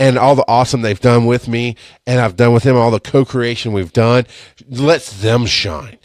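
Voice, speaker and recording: Over a very clean recording with a silent background, a man speaks at a moderate pace in a medium pitch with an animated tone, the sound dry and close with no echo. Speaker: podcast host. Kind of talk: live-stream monologue. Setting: Facebook live stream. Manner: loud.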